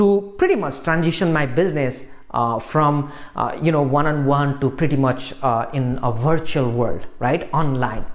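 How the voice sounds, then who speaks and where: A man with a non-native accent at a moderate pace. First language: not English. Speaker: online business coach. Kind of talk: talking-head video tutorial. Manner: hesitant, many fillers. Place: studio. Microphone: lapel.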